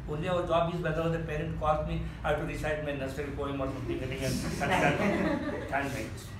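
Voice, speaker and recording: A high-pitched man at a moderate pace, with noticeable background noise and audible room echo. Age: 70s. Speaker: club member giving impromptu speech. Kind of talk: impromptu speech.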